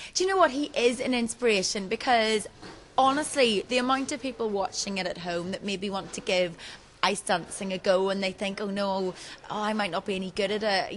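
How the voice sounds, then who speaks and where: Fairly high-pitched and with lively intonation, a woman talks at a fairly quick pace. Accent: Northern Irish. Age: 20s. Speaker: TV presenter and reality show contestant. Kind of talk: interview. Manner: animated.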